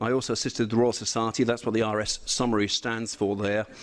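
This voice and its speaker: Very fast speech with a British accent against a quiet background. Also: man. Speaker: engineer. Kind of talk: presentation.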